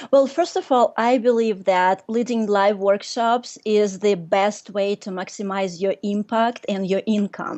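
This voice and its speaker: A Russian accent, ordinary pitch variation, a fairly slow pace and hardly any pauses. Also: woman, medium pitch for a woman. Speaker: workshop leader and business coach. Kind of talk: casual interview chat.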